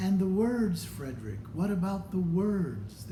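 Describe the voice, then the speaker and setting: In a put-on character voice at a fairly slow pace, the speech has a slight echo and clear background noise. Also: man, high pitch for a man. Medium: read story. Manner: eager, anxious.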